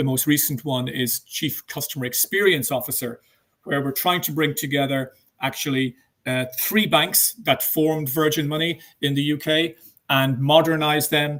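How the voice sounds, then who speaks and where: With an Irish accent, a man talks at a moderate pace in a fairly high pitch and with fairly even intonation. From Ireland. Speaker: banking executive. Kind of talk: interview. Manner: hesitant, many fillers.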